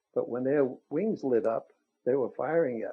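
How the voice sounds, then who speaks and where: A man with a New York accent speaks at a medium pitch. He goes fairly slowly, with ordinary pitch variation. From Brooklyn, New York. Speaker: war veteran. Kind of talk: testimony.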